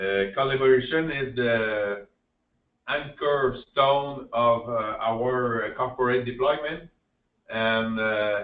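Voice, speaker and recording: In a Quebec accent, a man speaks very slowly at medium pitch with fairly even intonation. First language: French. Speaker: public infrastructure manager. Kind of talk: conference presentation. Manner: halting, frequent fillers.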